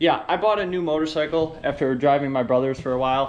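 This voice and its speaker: Audible room echo surrounds a man with a fairly high pitch. He talks at a very fast pace with ordinary pitch variation. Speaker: vlogger and car builder. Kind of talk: casual vlog update.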